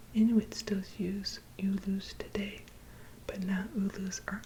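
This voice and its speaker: Soft-spoken whispering at a fairly slow pace, with noticeable background noise. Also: woman. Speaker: ASMR creator. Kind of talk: bedtime story reading.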